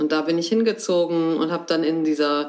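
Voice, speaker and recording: A woman speaks fairly slowly at a fairly low pitch. Hers is an unremarkable speaking voice. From northern Germany, Hamburg area. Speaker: theatre director. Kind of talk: interview. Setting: at her home.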